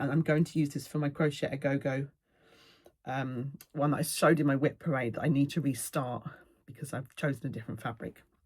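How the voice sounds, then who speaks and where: A woman with a southern English accent talks at a very fast pace. Her voice is very deep and low, and somewhat breathy. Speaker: cross-stitch video creator. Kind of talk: casual chat.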